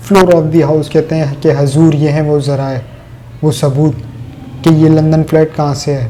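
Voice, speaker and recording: A man talks in a flat monotone at a fairly high pitch. Noticeable background noise runs underneath. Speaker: political commentator. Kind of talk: political commentary monologue.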